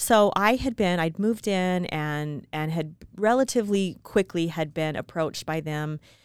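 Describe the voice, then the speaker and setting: Hardly pausing, a woman with an American accent and a plain, everyday voice talks at a fairly low pitch with ordinary pitch variation, on a very clean recording with a silent background. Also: moderate pace. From small-town Utah. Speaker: podcast co-host. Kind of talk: casual chat.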